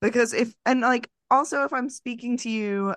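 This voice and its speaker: In an ordinary speaking voice with an American accent, a woman talks at a fairly slow pace with ordinary pitch variation, recorded dry and close with no echo against a quiet background. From Long Island, New York. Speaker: podcast host. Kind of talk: casual chat.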